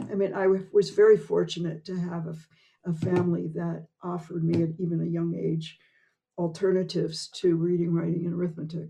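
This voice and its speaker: Somewhat breathy and dark, mellow in tone, a woman speaks at a fairly quick pace in a fairly low pitch with monotone, flat intonation. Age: 80s. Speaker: improv performer and teacher. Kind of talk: interview conversation.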